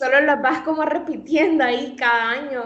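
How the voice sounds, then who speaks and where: Pitch varies normally as a woman speaks at a fairly slow pace. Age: 20s. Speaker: nutrition student. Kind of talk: casual interview.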